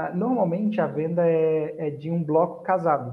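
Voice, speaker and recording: A man with an unremarkable speaking voice talks at a fairly high pitch with ordinary pitch variation. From Búzios, Rio de Janeiro state, Brazil. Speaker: digital marketing strategist. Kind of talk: casual online webinar interview.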